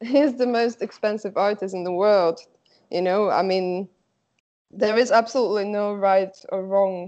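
Against a quiet background, a woman with a Slovak accent speaks at a medium pitch and a moderate pace with fairly even intonation. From Slovakia. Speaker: artist. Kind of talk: interview.

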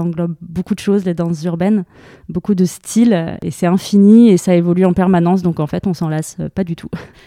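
With a fairly quick pace and a monotone, flat delivery, this woman has a medium pitch and a dark, mellow tone, recorded very cleanly against a silent background with a dry, close sound and no echo. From France, Lyon region. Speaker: dance programmer. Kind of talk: interview conversation. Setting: in person.

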